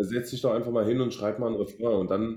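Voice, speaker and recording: A man's medium-pitched, dark, mellow voice at a very fast pace. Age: 30s. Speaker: party singer. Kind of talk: interview.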